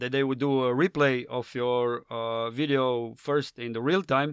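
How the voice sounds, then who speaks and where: A man with a Slavic accent speaks at a fairly high pitch with ordinary pitch variation, in a dry, close sound with no echo. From Slovenia. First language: Slovenian. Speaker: professional skydiver. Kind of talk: casual chat.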